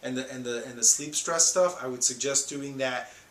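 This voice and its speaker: A man speaks with fairly high pitch and ordinary pitch variation. The room echo is audible, and background noise is noticeable. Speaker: wellness coach. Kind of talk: tutorial. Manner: fast.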